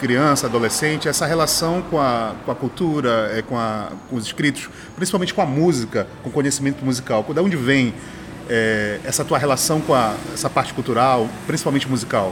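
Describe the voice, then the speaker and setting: The speech has lively intonation at a moderate pace. Noticeable background noise is present. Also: man. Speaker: podcast host. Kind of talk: casual interview. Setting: outdoors at a street bar. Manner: halting.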